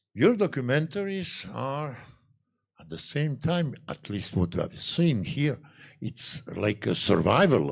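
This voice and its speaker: Someone with a Croatian accent speaks at a very slow pace with very wide pitch swings. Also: man. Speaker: journalist, interviewer. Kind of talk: on-stage interview. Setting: stage with audience at a fortress.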